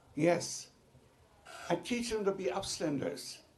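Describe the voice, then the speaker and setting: This man talks very slowly while noticeable background noise carries on behind him. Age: 90s. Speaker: Holocaust survivor. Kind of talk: testimony. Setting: legislative committee hearing.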